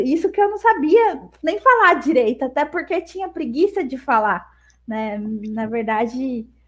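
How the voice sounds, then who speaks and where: Delivered at a moderate pace, this voice swings very widely in pitch. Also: woman. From Brazil, Campinas. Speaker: sign language interpreter. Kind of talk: interview, casual chat.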